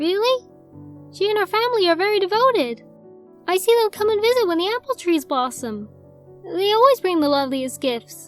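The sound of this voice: A female-sounding put-on character voice, extremely high in pitch, moves at a fairly quick pace with long, frequent pauses. Faint music plays in the background.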